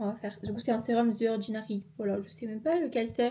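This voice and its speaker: Fairly quick and somewhat breathy, a woman's voice sits fairly high in pitch with a dark, mellow tone and fairly even intonation. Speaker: YouTuber. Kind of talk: casual talk to camera. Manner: chatty, playful, fast.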